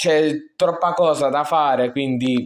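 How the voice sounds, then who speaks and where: Very slow male speech, fairly even in intonation. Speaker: gaming youtuber. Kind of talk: gameplay commentary. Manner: halting.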